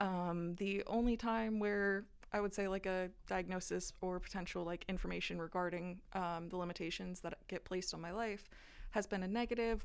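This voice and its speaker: Moderately paced, a woman talks in a plain, everyday voice at a medium pitch. Her intonation is fairly even. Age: 20s. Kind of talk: interview.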